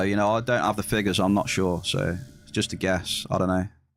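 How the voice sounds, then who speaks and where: Music sounds behind the speaker. He is a man talking at a moderate pace. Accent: West Midlands. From England, West Midlands. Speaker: video game streamer. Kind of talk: live stream chat. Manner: casual, chatty.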